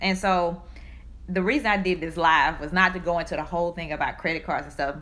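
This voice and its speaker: A woman speaks in a Southern US accent. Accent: Southern country. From US South. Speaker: personal finance speaker. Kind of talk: live stream talk. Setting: live stream.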